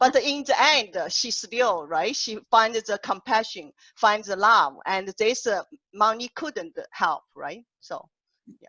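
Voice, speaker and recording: With a strong Chinese accent, a woman talks very slowly at a fairly high pitch, her intonation lively and her loudness swinging widely. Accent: heavy Chinese. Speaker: poet and workshop host. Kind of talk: panel discussion on Zoom. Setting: video call. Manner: halting.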